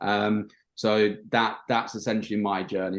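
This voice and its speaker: A man's fairly low voice with a Yorkshire accent. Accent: British (Yorkshire). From northern England, Bridlington, Yorkshire. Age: 30s. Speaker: marketing agency owner. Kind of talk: podcast interview. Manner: hesitant, many fillers.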